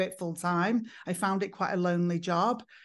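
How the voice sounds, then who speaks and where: Against a quiet background, a woman with an English accent speaks at medium pitch with fairly even intonation. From northern England, Manchester. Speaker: psychotherapist and former hairdresser. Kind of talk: podcast interview.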